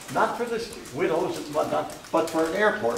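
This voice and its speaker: Lively intonation with an American accent, at a fairly quick pace over noticeable background noise. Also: man. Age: 80s+. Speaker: landowner. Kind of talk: speech to a community group.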